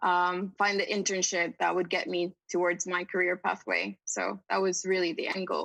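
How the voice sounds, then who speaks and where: In a dry, close recording with no echo and a quiet background, a woman with a medium pitch and vocal fry speaks at a moderate pace in a monotone, flat intonation. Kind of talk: interview answer.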